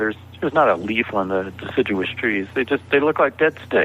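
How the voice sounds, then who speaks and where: Noticeable background noise sits behind a man with a fairly low pitch. He speaks at a very fast pace. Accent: American. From US South (Georgia). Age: 60s. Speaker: author. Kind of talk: interview conversation.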